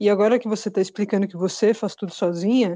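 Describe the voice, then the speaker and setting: There is no echo, and the sound is dry and close. Behind it, the background stays quiet. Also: woman. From São Paulo. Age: 40s. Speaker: podcast co-host. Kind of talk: casual chat.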